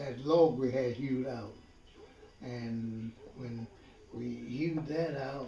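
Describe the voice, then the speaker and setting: With an American accent, the speaker goes at a very slow pace with long, frequent pauses and fairly even intonation, amid audible room echo and light background noise. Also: man. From US South. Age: 80s+. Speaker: retired farmer. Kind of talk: casual chat; interview answer. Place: kitchen. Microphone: camera far.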